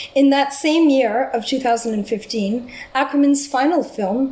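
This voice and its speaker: Over noticeable background noise, a woman with a Canadian accent speaks fairly slowly in a high voice with ordinary pitch variation. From Canada. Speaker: film scholar. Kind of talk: academic lecture. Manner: quiet.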